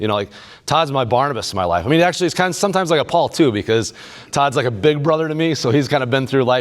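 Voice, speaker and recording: A man with a Midwestern American accent speaks with lively intonation. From central Illinois. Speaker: men's group leader and speaker. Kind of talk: inspirational faith talk. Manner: fast.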